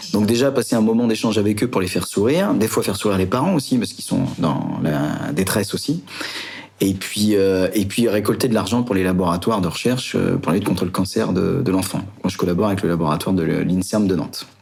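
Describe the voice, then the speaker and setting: A man talks very fast in a fairly low voice with ordinary pitch variation. Background noise is noticeable. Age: 40s. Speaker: adventurer. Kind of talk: interview.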